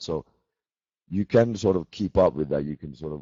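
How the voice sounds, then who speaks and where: Speaking with a Swedish accent, a man keeps a moderate pace and lively intonation. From Finland. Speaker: metal band musician. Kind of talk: casual chat. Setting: video call.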